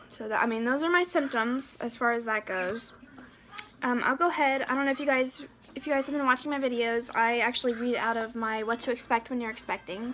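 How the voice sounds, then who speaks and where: Her pitch high, a woman talks at a fairly quick pace with ordinary pitch variation. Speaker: pregnancy vlogger, mother. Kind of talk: casual vlog monologue. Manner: halting, stuttering.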